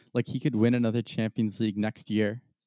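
Speaking fairly quickly with an American accent, a man uses a dark, mellow, fairly low voice in a monotone, flat delivery, and the sound is dry and close with no echo. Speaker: soccer podcast co-host. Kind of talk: casual sports chat.

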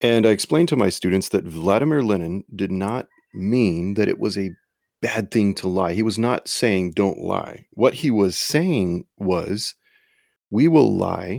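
A man with a plain, everyday voice speaks fairly slowly at a fairly low pitch, his intonation lively, on a very clean recording with a silent background. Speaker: high school teacher and podcaster. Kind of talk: solo conservative commentary podcast.

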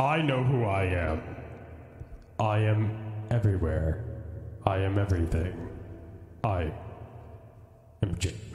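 A man speaks at a moderate pace in a put-on character voice, pitched fairly low, with long, frequent pauses. There is a slight echo on the recording. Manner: dramatic, proud.

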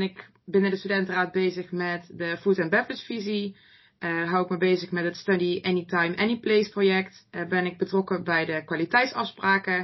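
Speaking at a moderate pace and medium pitch, a woman delivers fairly even intonation in a normal speaking voice. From Netherlands, North Brabant. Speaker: master's student, student party vice-chair. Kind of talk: casual interview. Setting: studio.

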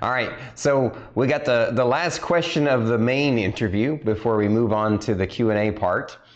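Moderate pace and ordinary pitch variation from a man with a medium pitch. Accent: American. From Oklahoma. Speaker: podcast host. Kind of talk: casual chat. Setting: video call. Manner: animated.

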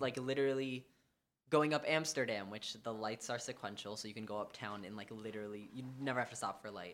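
A man with an American accent and medium pitch, an ordinary speaking voice at a fairly quick pace, with ordinary pitch variation. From New York City (Manhattan). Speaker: student, musician. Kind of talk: casual chat.

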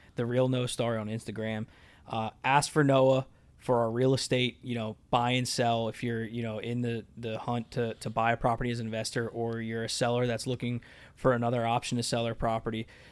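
Here a man talks at a fairly quick pace and a medium pitch. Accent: American. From Lebanon, Pennsylvania. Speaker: real estate investor. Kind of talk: casual chat. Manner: animated.

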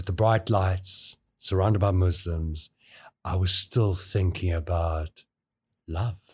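In a very clean recording with a silent background, a man speaks at a very slow pace with a very deep, low pitch. His tone is dark, mellow and somewhat breathy, with ordinary pitch variation. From South Africa, KwaZulu-Natal South Coast. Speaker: college skills development lead. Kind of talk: casual interview, personal storytelling.

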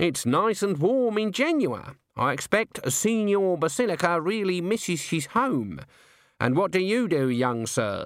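In a very clean recording with a silent background, a man does a put-on character voice, high-pitched with big pitch swings, at a fairly slow pace.

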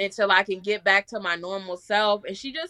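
A woman with a New York accent speaks at a medium pitch in a bright, sharp tone. The sound is dry and close, with no echo. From Staten Island, New York. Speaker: rapper and music artist. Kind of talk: casual interview.

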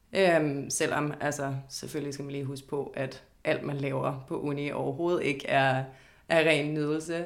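A woman's very deep, low voice, flat and monotone, at a fairly slow pace. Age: 20s. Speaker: law student. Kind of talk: interview. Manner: hesitant, many fillers.

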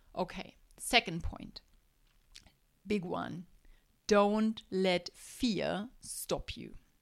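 A woman at medium pitch with vocal fry, fairly even intonation, a very slow pace and long, frequent pauses. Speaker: podcast host, life coach for moms. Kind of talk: solo motivational podcast monologue.

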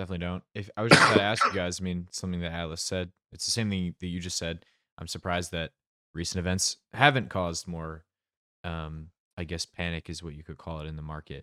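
Very deep and low in pitch, a man talks at a very fast pace with a bright, sharp tone, fairly even intonation and big swings in loudness, in a dry, close sound with no echo on a very clean recording with a silent background. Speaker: podcast host, moderator. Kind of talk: casual chat, moderating community call.

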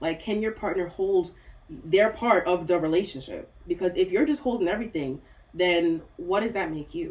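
A woman with an American accent speaks in a normal speaking voice at medium pitch. Her pace is moderate and her pitch variation ordinary. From US, Nigerian-born. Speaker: mental health therapist. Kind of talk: casual chat.

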